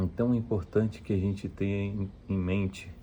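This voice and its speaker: A man's voice sits very deep and low, with a dark, mellow, somewhat breathy tone. He keeps a moderate pace and fairly even intonation. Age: 30s. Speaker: vlogger on personal investing. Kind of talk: personal vlog talk to camera. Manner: hesitant, many fillers.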